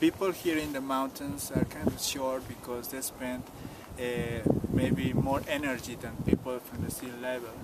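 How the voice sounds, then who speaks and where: Moderate pacing over noticeable background noise. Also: man. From Peru, Cusco highlands. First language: Quechua. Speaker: tour guide. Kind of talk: interview.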